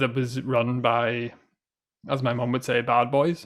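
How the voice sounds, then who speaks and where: In a Northern Irish accent, a man speaks at medium pitch in a monotone with flat intonation. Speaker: podcast host. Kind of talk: casual chat.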